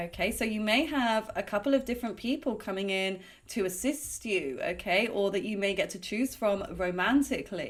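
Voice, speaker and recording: A woman uses an ordinary speaking voice at a medium pitch. Her intonation is lively, her pace moderate, with hardly any pauses. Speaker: tarot card reader. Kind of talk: psychic card reading monologue.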